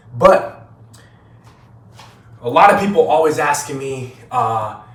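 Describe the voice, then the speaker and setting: In a room with audible echo and noticeable background noise, a man talks in an animated tone at medium pitch with ordinary pitch variation. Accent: American. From United States, Haitian family. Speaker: vlogger. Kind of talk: casual vlog monologue.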